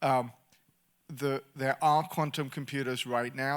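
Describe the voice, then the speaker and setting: A man with an English accent speaks with fairly even intonation in a very clean recording with a silent background. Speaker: government policy official. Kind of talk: panel discussion.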